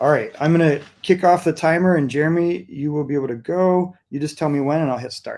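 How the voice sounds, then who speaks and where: A man talks at a fairly quick pace with hardly any pauses, in a normal speaking voice with fairly even intonation and a fairly high pitch. The recording is very clean, with a silent background. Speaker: event host. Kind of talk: event hosting.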